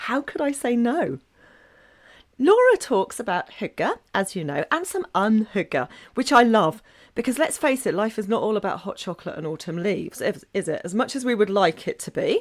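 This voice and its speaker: Very wide pitch swings mark a woman's speech in an English accent, with her fairly high pitch at a moderate pace. The recording is very clean with a silent background. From England. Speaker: podcaster and blogger on Nordic living. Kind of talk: podcast guest talk.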